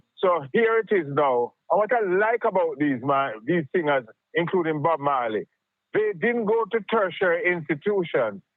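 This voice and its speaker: A man with a Jamaican accent speaks at a moderate pace, his high pitch carrying lively intonation at very even loudness. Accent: Jamaican English with patois. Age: 70s. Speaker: caller. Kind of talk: phone-in discussion. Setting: phone call.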